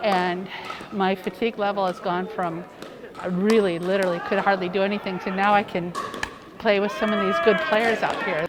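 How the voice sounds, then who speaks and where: A woman talks in a flat, monotone way. Noticeable background noise and audible room echo surround her voice. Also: medium pitch for a woman, moderate pace. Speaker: senior pickleball player. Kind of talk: interview.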